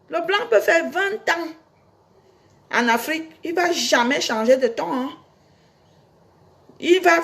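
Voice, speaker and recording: The speaker talks at a very slow pace, with long, frequent pauses and very wide pitch swings. Background noise is noticeable. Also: woman. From Cameroon. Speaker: singer and online personality. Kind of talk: casual monologue to fans. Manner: animated.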